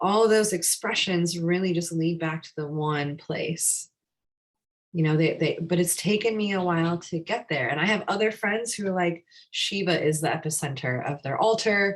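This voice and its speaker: Using an ordinary speaking voice, a woman with a General American accent speaks at a moderate pace and a fairly low pitch with ordinary pitch variation. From USA. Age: 40s. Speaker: yoga teacher. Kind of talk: live class discussion.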